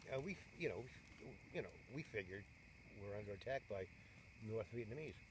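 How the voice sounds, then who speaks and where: A man talks at a moderate pace in an American accent, sounding somewhat breathy. His speech has long, frequent pauses. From New York State. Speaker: war veteran. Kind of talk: interview answer. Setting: outdoors. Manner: casual, rambling.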